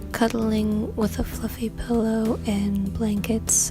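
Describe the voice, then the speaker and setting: Over music in the background, a soft-spoken woman talks in a calm tone. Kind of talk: calm self-care advice to camera, ASMR-style. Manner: soft-spoken, calm.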